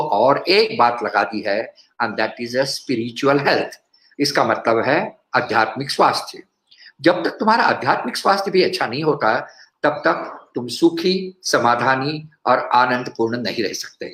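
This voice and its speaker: His fairly high-pitched voice swings very widely in pitch. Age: 70s. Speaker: cardiologist and speaker. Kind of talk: health talk.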